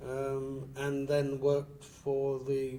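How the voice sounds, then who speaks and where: The intonation is monotone and flat. Room echo is audible. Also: man. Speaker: aid worker. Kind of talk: interview. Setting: filmed interview. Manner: halting.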